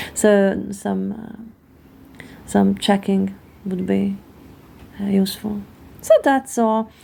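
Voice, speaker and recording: In a Hungarian accent, a woman talks very slowly with long, frequent pauses and big swings in loudness. Noticeable background noise can be heard. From Hungary. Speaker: tarot card reader. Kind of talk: card reading monologue. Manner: halting, many fillers.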